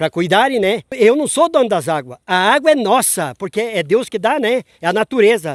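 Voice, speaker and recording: At a moderate pace, a man talks at an extremely high pitch with very wide pitch swings, recorded very cleanly against a silent background with a dry, close sound and no echo. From rural Santa Catarina, Brazil. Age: 60s. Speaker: farmer. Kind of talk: interview.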